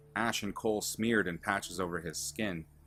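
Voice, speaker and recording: Fairly low male voice with ordinary pitch variation at a moderate pace, music playing in the background. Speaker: author reading own fiction. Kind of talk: fantasy story narration.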